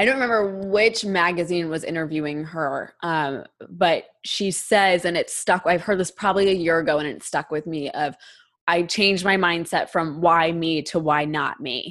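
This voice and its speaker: Recorded very cleanly with a silent background, a woman uses an ordinary speaking voice at a fairly low pitch and moderate pace, with ordinary pitch variation. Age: 20s. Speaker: podcast host and teacher. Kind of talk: casual interview chat.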